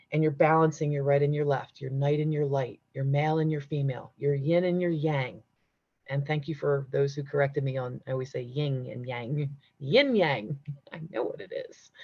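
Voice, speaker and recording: This woman speaks at a moderate pace in a very deep, low voice that is somewhat breathy, with fairly even intonation and big swings in loudness. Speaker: spiritual teacher. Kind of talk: live-streamed class. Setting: livestream.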